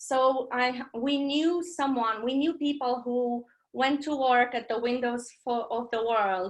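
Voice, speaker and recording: A woman with a high voice speaks at a very slow pace with fairly even intonation against a quiet background. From Romania. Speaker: poet. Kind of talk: poetry reading. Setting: video call.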